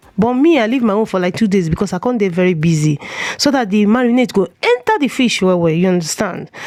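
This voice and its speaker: With noticeable background noise behind her, a woman at a medium pitch speaks at a very fast pace with very even loudness. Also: lively intonation. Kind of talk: cooking tutorial. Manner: casual, chatty.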